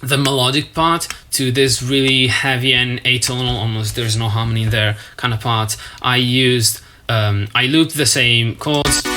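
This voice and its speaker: Someone with a non-native accent talks at a moderate pace over noticeable background noise. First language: not English. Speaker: music producer. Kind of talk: tutorial walkthrough.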